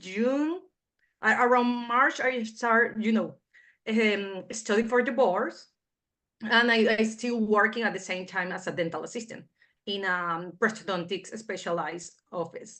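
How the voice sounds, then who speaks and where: Over a quiet background, a woman with a Spanish accent speaks fairly slowly in a fairly high pitch, with a bright, sharp tone and ordinary pitch variation. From Venezuela. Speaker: foreign-trained dentist. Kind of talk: interview.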